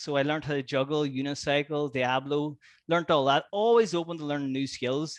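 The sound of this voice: The tone is fairly bright. A man speaks at a fairly high pitch.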